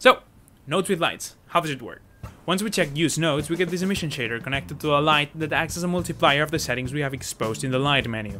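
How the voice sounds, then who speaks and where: A man with a non-native accent and fairly high pitch, very fast pace and ordinary pitch variation, with music in the background. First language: not English. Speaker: 3D artist and tutorial creator. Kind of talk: tutorial. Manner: animated.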